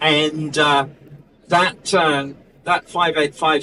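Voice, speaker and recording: Noticeable background noise sits behind a man's fairly high pitch. His intonation is fairly even. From New Zealand. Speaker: technical support engineer and astro imager. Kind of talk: product presentation. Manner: hesitant, many fillers.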